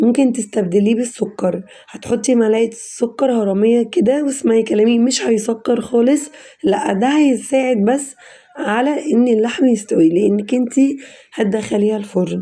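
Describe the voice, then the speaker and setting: A woman with a fairly high pitch and ordinary pitch variation speaks at a fairly slow pace in very even loudness, with noticeable background noise. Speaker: cooking channel host. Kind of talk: cooking tutorial. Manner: casual, chatty.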